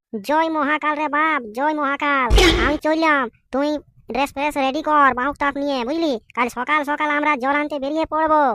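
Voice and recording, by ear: A woman puts on a cartoonish character voice. It is pitched high. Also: moderate pace.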